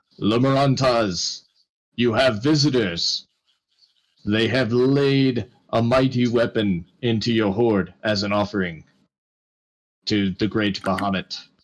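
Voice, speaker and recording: A booming, put-on character voice from a man, medium in pitch and very even in loudness, at a fairly slow pace with long, frequent pauses. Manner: commanding.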